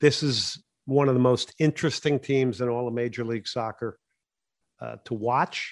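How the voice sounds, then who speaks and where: A man at a medium pitch, moderate pace and fairly even intonation. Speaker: radio host. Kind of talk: sports talk radio analysis, host recapping matches and interviewing. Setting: studio.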